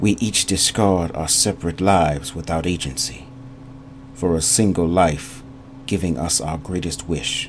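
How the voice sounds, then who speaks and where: Doing a husky put-on character voice with a very deep, low pitch, a man speaks in a solemn tone with lively intonation at a moderate pace over light background noise. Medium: read story. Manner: solemn, intimate.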